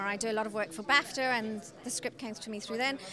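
A woman speaks in an enthusiastic tone, her voice dry with no echo over noticeable background noise. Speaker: film director. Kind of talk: interview. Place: hall. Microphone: handheld.

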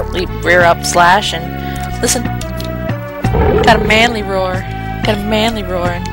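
The speech moves at a very slow pace with long, frequent pauses. Loud music plays in the background. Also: dry sound with no echo. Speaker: let's play commentator. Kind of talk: let's play gameplay commentary. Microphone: headset.

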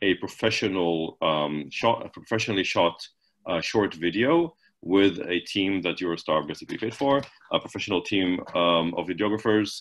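At a moderate pace, a man with a very deep, low voice speaks with ordinary pitch variation. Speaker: marketing presenter; presenter. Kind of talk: webinar presentation. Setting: video call. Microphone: webcam.

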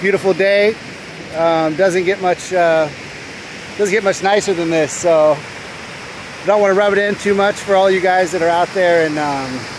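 A man's high voice at a moderate pace with fairly even intonation and long, frequent pauses, in a dry sound with no echo and noticeable background noise. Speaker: weight loss vlogger. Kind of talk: casual vlog chat. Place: beach. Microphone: phone near.

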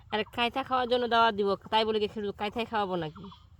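A woman with an unremarkable speaking voice, medium pitch and fairly even intonation. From rural Bangladesh. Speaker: village vlogger. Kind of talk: casual vlog narration.

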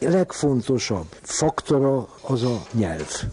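Very slowly, a man at a medium pitch makes very wide pitch swings, with noticeable background noise behind him. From Hungary, Pécs. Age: 80s+. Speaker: psychoanalyst and art collector. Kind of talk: radio interview.

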